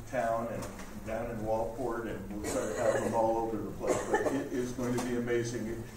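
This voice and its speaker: Recorded with noticeable background noise and audible room echo, a man is speaking. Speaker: event host introducing speaker. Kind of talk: event announcement and introduction. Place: hall. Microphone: camera far.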